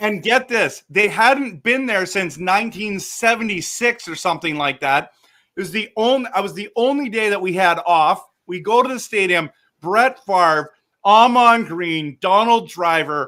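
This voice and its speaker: Raised and projected, a man's high-pitched voice comes through bright and sharp at a fairly slow pace, animated and with lively intonation, in a very clean recording with a silent background. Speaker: reverend and podcast host. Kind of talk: casual chat. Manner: loud.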